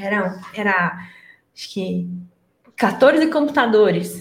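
With audible echo from the room, this woman's pitch rises and falls very widely. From interior of São Paulo state, Brazil. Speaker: IT entrepreneur. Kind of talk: casual chat.

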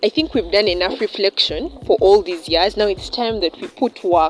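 At a fairly quick pace, a woman talks while noticeable background noise runs underneath. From Uganda. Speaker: medical student. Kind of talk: panel discussion.

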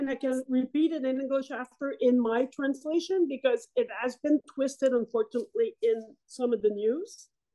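The voice has a dark, mellow tone and ordinary pitch variation, moving at a moderate pace with few pauses. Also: woman, high pitch for a woman.

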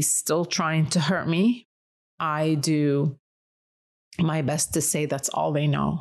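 There is a quiet background. A woman speaks with a very deep, low pitch. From Lebanon. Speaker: interviewee. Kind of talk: casual interview, personal story.

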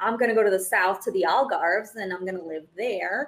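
A woman speaks with a Portuguese accent. She talks at a fairly quick pace. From Brazil. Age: 30s. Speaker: money coach and investor, former attorney. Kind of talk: interview.

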